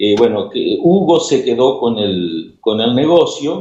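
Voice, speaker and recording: A man talks very slowly, his voice fairly high. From Argentina, Paraná (Entre Ríos). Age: 60s. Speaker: ham radio operator. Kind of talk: radio interview.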